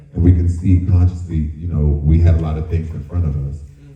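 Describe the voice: Amid audible room echo, a man speaks at an extremely low pitch with little pitch movement and a fairly quick pace.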